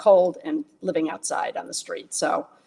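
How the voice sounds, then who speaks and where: Noticeable background noise behind a woman speaking with an American accent. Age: 70s. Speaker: self-described alien abductee, artist and designer. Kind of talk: interview, personal life story. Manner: halting, with many fillers and restarts.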